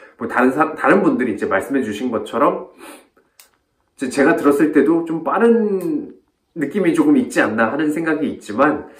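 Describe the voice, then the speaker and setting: Audible room echo surrounds a man whose fairly high pitch moves in very wide swings. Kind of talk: reflective video talk. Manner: fast; clear pronunciation.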